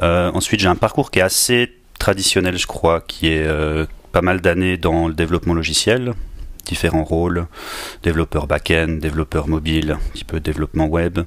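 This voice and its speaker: At a moderate pace, a man with a slight Swiss French accent speaks in a very deep, low pitch with fairly even intonation. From northern Switzerland, near Basel, rural. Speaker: agile coach and engineering manager. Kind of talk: podcast interview.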